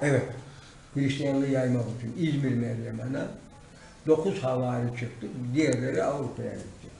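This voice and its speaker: A man talks with fairly even intonation and long, frequent pauses, over light background noise and audible room echo. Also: moderate pace. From Silifke, Mersin, Turkey. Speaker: retired teacher, walked across Turkey. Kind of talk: interview answer. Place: office. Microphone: camera far.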